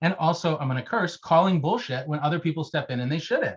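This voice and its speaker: Against a quiet background, a man talks at a very fast pace and a fairly high pitch, with ordinary pitch variation. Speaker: education professor. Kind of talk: panel Q&A answer. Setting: video call. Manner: loud.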